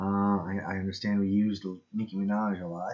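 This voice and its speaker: Monotone, flat intonation comes from a man with a fairly low pitch. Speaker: video creator, anime convention volunteer. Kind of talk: personal monologue video. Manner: monotonous, mechanical; halting, many fillers and repeats.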